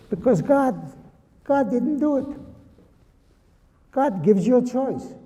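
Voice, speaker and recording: Amid noticeable background noise and audible room echo, a man speaks at a fairly slow pace in an extremely high pitch with ordinary pitch variation. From Lithuania. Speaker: Holocaust survivor speaker. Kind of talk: talk with Q&A to students. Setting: high school presentation with audience.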